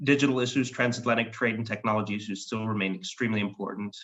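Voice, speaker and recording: A man with an American accent speaks in a plain, everyday voice, fairly low in pitch, with fairly even intonation. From United States. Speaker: foreign policy expert. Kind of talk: panel discussion. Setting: web session.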